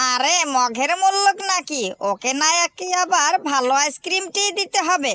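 An extremely high-pitched, put-on character voice. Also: moderate pace. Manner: lively, hawker's calling.

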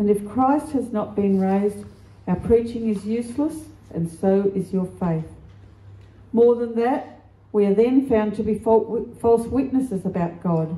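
A woman speaks at a fairly slow pace in a dark, mellow, somewhat breathy tone with ordinary pitch variation. Room echo is audible. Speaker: scripture reader. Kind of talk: scripture reading. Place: church. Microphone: handheld.

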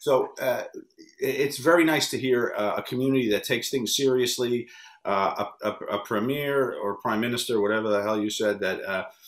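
An unremarkable speaking voice with an American accent, moving at a moderate pace. Pitch variation is ordinary, and the background is quiet. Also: man. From US Northeast (New York area). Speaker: wrestling interview producer. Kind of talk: interview. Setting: video call. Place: home room.

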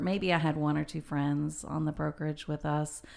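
A woman with an American accent, very deep and low in pitch, with fairly even intonation over a quiet background. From Texas, Waco; Texas. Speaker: real estate broker; podcast guest. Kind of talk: casual chat. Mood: relaxed, friendly. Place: meeting room. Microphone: studio mic.

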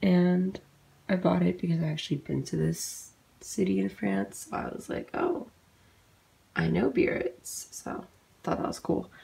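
A woman speaks at a fairly slow pace. She leaves long, frequent pauses. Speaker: college student. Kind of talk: casual talk to camera. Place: home room.

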